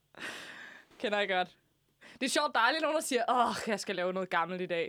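A woman's bright, sharp, fairly high voice with very wide pitch swings, a moderate pace and long, frequent pauses. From southern Zealand, Denmark. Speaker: radio host. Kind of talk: casual chat. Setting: studio.

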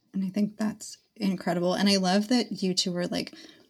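Somewhat breathy, a woman of medium pitch speaks at a moderate pace. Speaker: podcast host, dietitian.

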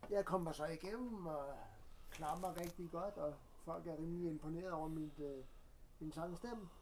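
Audible room echo surrounds a man with a high pitch and ordinary pitch variation. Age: 40s. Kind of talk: casual chat. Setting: studio. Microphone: poor sound quality.

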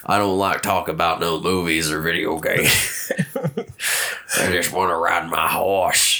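Using a raspy, gruff put-on character voice, a man talks at a fairly slow pace with hardly any pauses over light background noise. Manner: gruff, masculine.

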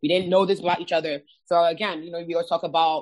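A woman at a very fast pace. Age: 30s. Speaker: podcast co-host and musician. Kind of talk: casual chat.

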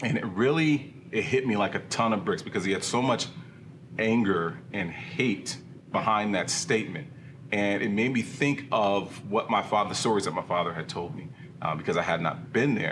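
Here is an ordinary speaking voice at a moderate pace. Its intonation is lively. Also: man, medium pitch for a man. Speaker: church elder and small group leader. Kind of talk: casual discussion.

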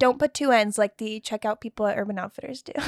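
The recording is dry and close, with no echo. A woman talks in an American accent. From Texas. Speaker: comedy show host, podcast guest. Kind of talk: casual chat.

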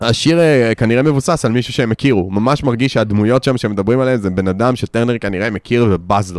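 Here is a man with an ordinary speaking voice at medium pitch. He talks at a fairly quick pace with ordinary pitch variation. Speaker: podcast co-host discussing music albums. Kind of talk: casual chat.

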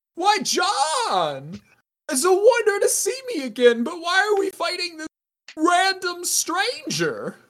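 Extremely high pitch from a put-on character voice. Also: fairly slow pace. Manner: excitable, earnest.

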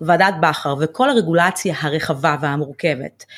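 A woman talks at a moderate pace, captured in a very clean recording with a silent background. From Israel, Ramla. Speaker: financial planner. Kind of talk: interview.

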